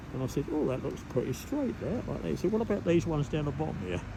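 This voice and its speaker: In an East Anglian accent, a man with a dark, mellow tone, vocal fry and a fairly high pitch talks at a very fast pace with very wide pitch swings, with audible room echo around him. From Cambridgeshire, England. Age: 80s+. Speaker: local resident. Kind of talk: casual chat. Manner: halting, repetitive.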